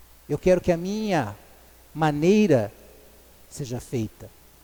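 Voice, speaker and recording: Speaking at a very slow pace, a man with a dark, mellow tone swings his pitch very widely. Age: 60s. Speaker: lay preacher. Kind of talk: sermon. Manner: halting, repeats words.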